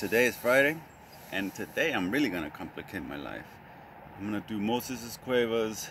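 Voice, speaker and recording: With vocal fry and lively intonation, a man talks at a fairly quick pace, his loudness swinging widely. The sound is dry with no echo, over light background noise. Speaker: fitness vlogger. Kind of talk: casual vlog chat. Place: garden. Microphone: phone near.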